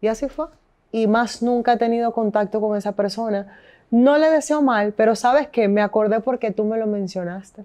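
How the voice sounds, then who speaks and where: A woman's dark, mellow tone at a moderate pace, with ordinary pitch variation over a quiet background. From Venezuela, Caracas. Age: 30s. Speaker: radio host and businesswoman; interview guest. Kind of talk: casual interview. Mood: animated, candid storytelling. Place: home room.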